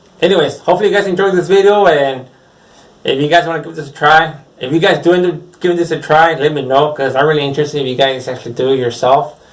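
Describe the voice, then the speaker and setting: A man speaks at a very fast pace, his pitch fairly high and moving in an ordinary way. Room echo is audible around him. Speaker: screen printer. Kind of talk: casual vlog talk. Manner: rambling, unscripted.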